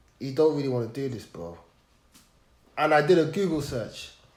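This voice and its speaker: With lively intonation, a man talks amid audible room echo. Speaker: podcast guest. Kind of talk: personal testimony. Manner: halting, with repeated sounds.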